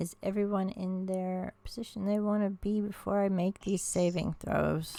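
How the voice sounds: The delivery is a natural reading voice. Its intonation is fairly even.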